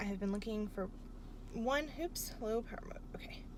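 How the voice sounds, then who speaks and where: A woman's voice comes with audible room echo. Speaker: book vlogger and grad student. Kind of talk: casual vlog. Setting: in a bookstore. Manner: casual with fillers; soft-spoken.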